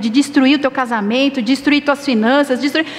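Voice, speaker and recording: A woman with a high pitch, over noticeable background noise. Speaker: pastor. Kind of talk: sermon.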